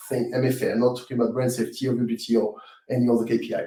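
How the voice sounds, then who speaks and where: The man speaks with a strong French accent at a fairly quick pace. His tone is dark and mellow and somewhat breathy. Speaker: webinar presenter. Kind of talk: live webinar Q&A. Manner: halting, many fillers and repetitions.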